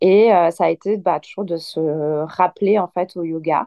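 Fairly even intonation in a normal speaking voice. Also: woman. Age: 30s. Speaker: yoga teacher. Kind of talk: casual chat.

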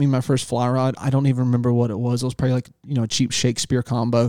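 A man with a Southern US accent talks at a very fast pace, his medium-pitched voice dark and mellow in tone. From US South. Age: 40s. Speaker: fishing guide. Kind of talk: casual chat. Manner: halting.

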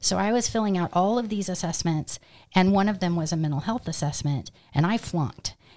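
A woman speaks at a medium pitch and a fairly quick pace. Her tone is dark and mellow, with ordinary pitch variation. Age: 50s. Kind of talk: podcast interview, personal testimony.

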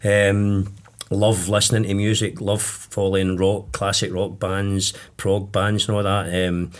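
A man's fairly low-pitched voice at a fairly slow pace, with little pitch movement

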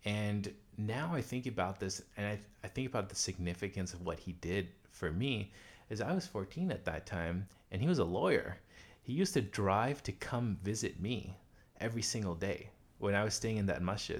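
In a very clean recording with a silent background, a man with a normal speaking voice and a fairly low pitch talks at a moderate pace with ordinary pitch variation. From US South, Pine Bluff, Arkansas. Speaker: Quran teacher and prayer leader. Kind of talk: interview. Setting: home living room.

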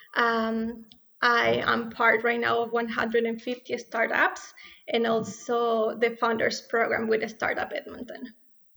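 A woman with a Spanish accent speaks very slowly, using a fairly high pitch and fairly even intonation. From Ecuador. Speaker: startup co-founder and business student. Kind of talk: interview. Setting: remote recording from separate studio.

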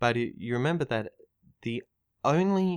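A fairly slow pace with ordinary pitch variation, in a dry, close sound with no echo and a very clean recording over a silent background. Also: man. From Australia. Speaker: clinical psychologist and podcaster. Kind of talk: casual discussion. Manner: halting.

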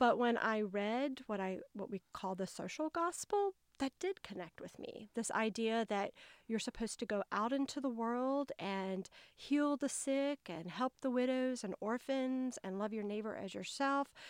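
A woman's fairly high voice with a Southern US accent, lively intonation and a fairly slow pace, dry and close with no echo, on a very clean recording over a silent background. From US South, North Carolina. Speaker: public health worker, memoirist. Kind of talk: casual interview, personal storytelling.

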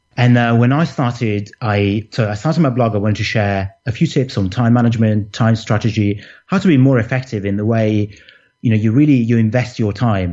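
With a Manchester accent, a man talks at a fairly quick pace, his medium pitch showing ordinary variation. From Manchester, England. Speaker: time management coach and blogger. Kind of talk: interview. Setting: remote call.

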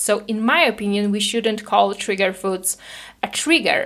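A woman speaks fairly slowly with a non-native accent. Her pitch is fairly high. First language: not English. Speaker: podcast host and binge eating coach. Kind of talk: solo educational podcast monologue. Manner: hesitant with filler words and repetitions.

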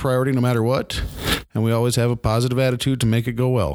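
A man with an Upper Midwest accent speaks at a very fast pace in monotone, flat intonation. The recording is very clean, with a silent background. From Milbank, South Dakota. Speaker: customer service rep, engineer. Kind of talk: casual chat.

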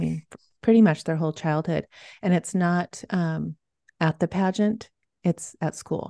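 A woman at a moderate pace, fairly low in pitch, her sound dry and close with no echo against a quiet background. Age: 50s. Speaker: youth confidence coach. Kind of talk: casual interview chat.

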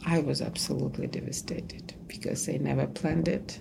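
Speaking at a moderate pace in a Russian accent, a woman is heard with audible room echo and noticeable background noise. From Ukraine, Kyiv. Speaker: archivist. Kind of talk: interview testimony.

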